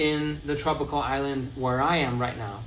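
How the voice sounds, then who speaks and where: A man with a slight Danish accent, audible room echo around him. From Denmark. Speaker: health content creator. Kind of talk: livestream tutorial. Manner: casual, halting.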